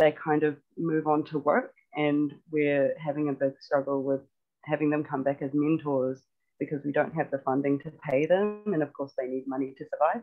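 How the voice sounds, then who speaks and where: This voice carries a New Zealand accent. It moves along at a moderate speed. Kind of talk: online workshop discussion. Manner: hesitant, many ums.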